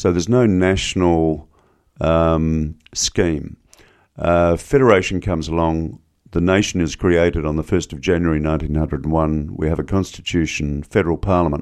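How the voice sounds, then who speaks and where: Very deep, low-pitched male voice in an Australian accent, with fairly even intonation, a moderate pace and a quiet background. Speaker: professor, historian. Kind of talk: interview conversation. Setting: studio.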